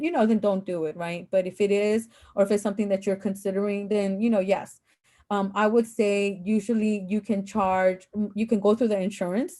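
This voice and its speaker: A woman's dark, mellow voice with fairly even intonation against a quiet background. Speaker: adjunct professor and former school counselor. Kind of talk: online panel talk to students. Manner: fast; casual, filler-heavy.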